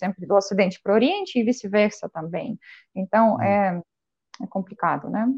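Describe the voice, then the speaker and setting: A woman talks at a moderate pace with vocal fry. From Belarus. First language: Belarusian or Russian (speaking Portuguese). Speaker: language teacher. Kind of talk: interview.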